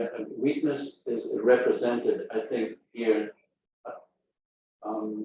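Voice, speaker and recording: A man talks at a very slow pace, with long, frequent pauses. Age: 70s. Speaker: audience member asking a question. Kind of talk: question at a talk. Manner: halting.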